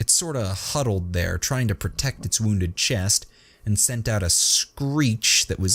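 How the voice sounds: Lively intonation in a natural reading voice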